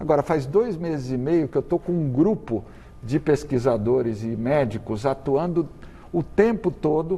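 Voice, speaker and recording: The voice is somewhat breathy, with a dark, mellow tone. The pace is fairly slow. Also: man, fairly high pitch for a man. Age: 60s. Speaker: cardiologist and medical professor. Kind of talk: TV interview. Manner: halting with repetitions.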